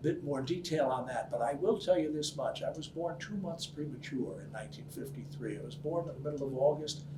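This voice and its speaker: There is audible room echo and noticeable background noise as a man speaks. His pitch is fairly high, his intonation fairly even, and his pace moderate. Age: 60s. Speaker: business professor. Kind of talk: interview answers.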